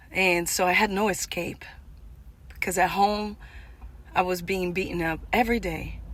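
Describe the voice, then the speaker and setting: A woman's medium-pitched voice, fairly slow in pace, with monotone, flat intonation. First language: not English. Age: 40s. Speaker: vlogger. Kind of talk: personal testimony. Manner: halting.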